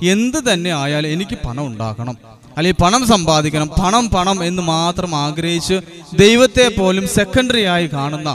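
A man speaks at a moderate pace with a high pitch, lively intonation, a fairly bright tone and few pauses, over faint background noise.

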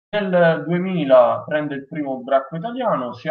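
The setting is quiet. A man talks fairly slowly. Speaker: host of a live-streamed show. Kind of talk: host introduction. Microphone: headset.

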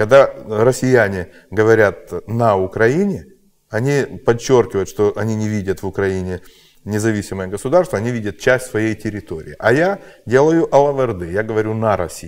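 Fairly low male pitch with ordinary pitch variation from a man. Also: moderate pace. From Ukraine. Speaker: truck driver and blogger; blogger. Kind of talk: casual chat. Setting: studio. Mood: animated, sarcastic political talk. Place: studio.

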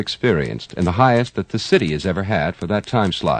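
A man speaks at a fairly quick pace with lively intonation, his voice dry and close with no echo against noticeable background noise. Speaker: radio announcer / disc jockey. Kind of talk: radio demo tape voice-over pitch.

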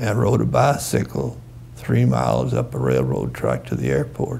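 A man speaks with a Southern US accent. Noticeable background noise comes through, and his pitch varies in an ordinary way. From US South, Kentucky (Owensboro). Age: 80s+. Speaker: war veteran. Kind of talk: interview. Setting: in person, on camera.

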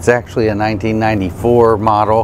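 A man talks over light background noise. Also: dry sound with no echo. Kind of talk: interview answer. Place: bus. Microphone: lapel.

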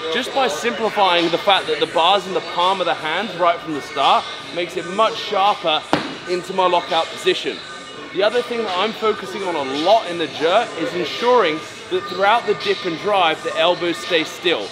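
Clear music sits in the background as a man speaks with ordinary pitch variation. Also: moderate pace. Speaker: weightlifting athlete coach. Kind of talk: tutorial. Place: gym.

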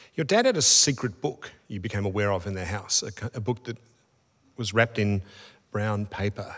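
At a moderate pace, a man with an Australian accent and a fairly low pitch speaks with fairly even intonation and long, frequent pauses over a quiet background. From Australia, Melbourne. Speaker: interviewer. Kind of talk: onstage interview. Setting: stage with audience. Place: stage. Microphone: studio mic.

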